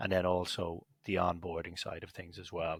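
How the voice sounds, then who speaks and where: An Irish accent marks this man's speech, heard with a dry, close sound with no echo. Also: very clean recording, silent background. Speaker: company executive. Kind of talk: podcast interview.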